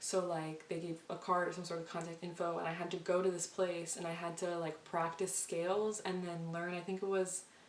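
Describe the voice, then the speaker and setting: In a room with audible echo, a woman talks in a fairly low, monotone, flat voice with hardly any pauses. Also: fairly quick pace. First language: Spanish. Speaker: vlogger. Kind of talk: casual chat. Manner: fast.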